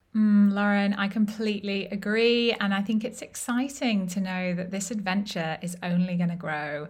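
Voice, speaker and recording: A woman's somewhat breathy voice at a medium pitch, moderate pace with hardly any pauses, and ordinary pitch variation. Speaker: podcast host and business coach. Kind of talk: interview conversation.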